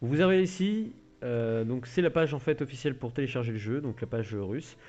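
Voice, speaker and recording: A man speaks at a fairly quick pace in a dark, mellow tone, his pitch swinging very widely. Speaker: gaming youtuber. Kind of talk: tutorial.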